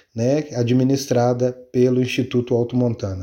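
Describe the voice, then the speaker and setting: A man's voice of dark, mellow tone. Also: quiet background. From Minas Gerais, Brazil (small town of Caeté). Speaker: conservation institute manager. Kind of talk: interview.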